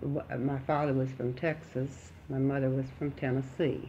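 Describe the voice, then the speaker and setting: With a Southern US accent, a woman speaks fairly slowly at a very deep, low pitch. Vocal fry runs through her voice. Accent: Southern US (Oklahoma). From Oklahoma City, USA. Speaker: World War II air raid defense veteran. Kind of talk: oral history interview answer.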